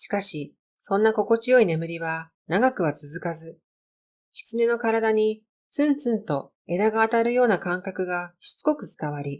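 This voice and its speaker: An unremarkable speaking voice from a woman with a fairly high pitch, lively intonation, big swings in loudness and a fairly slow pace, on a very clean recording with a silent background. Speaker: amateur storyteller reading own stories. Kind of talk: narration.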